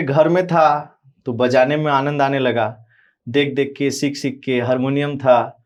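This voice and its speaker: In a normal speaking voice, a man talks with a fairly high pitch. The background is quiet. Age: young. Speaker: religious preacher. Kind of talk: interview.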